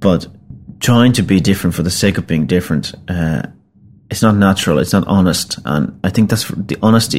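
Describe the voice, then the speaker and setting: This man talks at a fairly quick pace with a Finnish accent. His pitch is very deep and low, with ordinary variation. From Finland. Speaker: singer-songwriter and band frontman. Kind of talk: interview storytelling. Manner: hesitant with many fillers.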